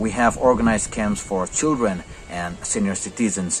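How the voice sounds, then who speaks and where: In a plain, everyday voice, a man with a fairly low pitch talks at a moderate pace over light background noise. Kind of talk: interview answer. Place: classroom. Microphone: phone near.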